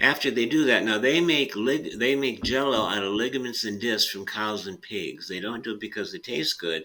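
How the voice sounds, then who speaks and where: The man's tone is bright and sharp, with ordinary pitch variation at a moderate pace. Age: 70s. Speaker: chiropractor. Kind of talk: interview explanation. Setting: podcast interview.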